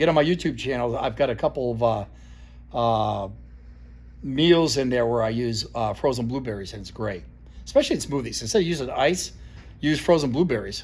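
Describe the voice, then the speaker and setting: Speaking at a fairly quick pace with long, frequent pauses, a man with an American accent uses a medium pitch and ordinary pitch variation, and audible room echo surrounds him. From US Northeast (Vermont). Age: 60s. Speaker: fitness trainer. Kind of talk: informal talk-to-camera lecture. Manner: casual, halting with fillers.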